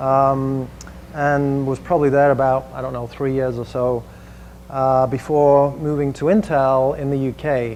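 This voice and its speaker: In an English accent, a man speaks fairly slowly at a medium pitch with monotone, flat intonation. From England, Manchester. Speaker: tech industry executive presenting. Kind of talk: presentation to a small audience. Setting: room with audience and screen. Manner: casual with frequent fillers.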